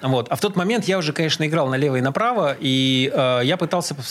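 Very fast, fairly high-pitched man's voice with lively intonation and very even loudness, over noticeable background noise. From Russia, grew up in several Soviet cities. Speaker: drummer. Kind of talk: interview, casual reminiscing. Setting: radio studio. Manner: halting, many filler sounds.

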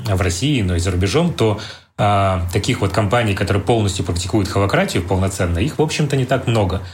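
Talking at a very fast pace, a man with a fairly low voice and lively intonation is heard through noticeable background noise and audible room echo. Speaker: company CEO. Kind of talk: interview.

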